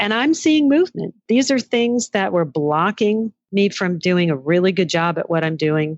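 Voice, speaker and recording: A woman talks at a medium pitch and a moderate pace, with very wide pitch swings and hardly any pauses. The sound is dry and close with no echo, over a quiet background. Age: 60s. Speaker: entrepreneur and former magazine editor. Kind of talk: interview.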